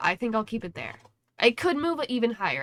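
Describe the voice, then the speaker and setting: The speech comes at a fairly quick pace with very wide pitch swings. The sound is dry and close, with no echo. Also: woman. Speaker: gaming content creator. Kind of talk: casual commentary. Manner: casual, filler-heavy.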